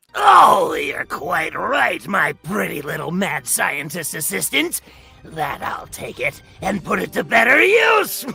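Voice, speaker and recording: A man performs a put-on character voice at a fairly slow pace. Faint music plays in the background. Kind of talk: table read.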